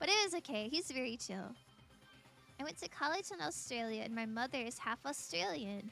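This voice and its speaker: The tone is bright and sharp, with an American accent. Intonation is lively and the pace moderate. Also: woman. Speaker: streamer. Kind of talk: casual chat while gaming on stream. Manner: chatty, friendly.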